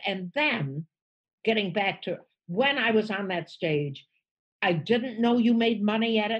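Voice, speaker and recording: This woman, with an American accent, speaks at a fairly slow pace with long, frequent pauses. Her fairly high voice is somewhat breathy, and her intonation is lively. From United States. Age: 80s+. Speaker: stand-up comedian. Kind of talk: podcast interview answer.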